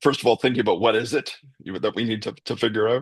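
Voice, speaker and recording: Against a quiet background, a man with a Canadian accent and an unremarkable speaking voice talks at a fairly quick pace in a medium pitch, the sound dry and close with no echo. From Canada. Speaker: professor of leadership. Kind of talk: interview answer. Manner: conversational, uses many fillers.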